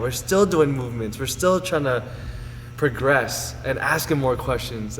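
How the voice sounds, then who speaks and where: With a General American accent, a man speaks at a moderate pace amid noticeable background noise and audible room echo. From Las Vegas, Nevada. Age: 20s. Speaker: personal trainer. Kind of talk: interview.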